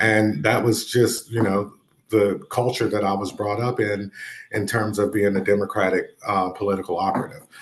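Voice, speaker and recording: A man with a Southern US accent speaks at a moderate pace. His pitch is fairly low and his intonation fairly even. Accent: Southern accent, retained. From North Carolina. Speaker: education advocate, former state legislator. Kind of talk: interview.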